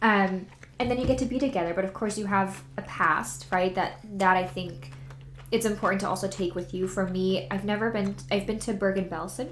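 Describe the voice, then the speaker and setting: A woman speaks with ordinary pitch variation. Room echo and background noise are both noticeable. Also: medium pitch for a woman, fairly quick pace. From Germany. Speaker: author. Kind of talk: casual chat.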